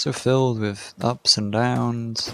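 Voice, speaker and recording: At a very slow pace, a man speaks with a medium pitch. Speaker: gaming streamer. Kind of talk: casual solo stream chat while gaming. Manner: rambling, halting with many fillers.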